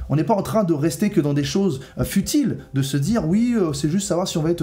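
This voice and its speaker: Audible room echo surrounds a man talking at a fairly quick pace in a fairly high voice with lively intonation. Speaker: prophetic preacher. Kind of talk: sermon-style video teaching. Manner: earnest, serious.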